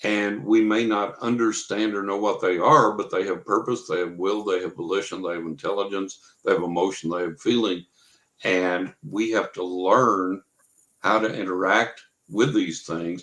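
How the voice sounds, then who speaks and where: A man with an American accent speaks at a moderate pace in a fairly low pitch. His intonation is fairly even, in an ordinary speaking voice. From West Texas. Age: 60s. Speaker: psychic and paranormal researcher. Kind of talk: interview.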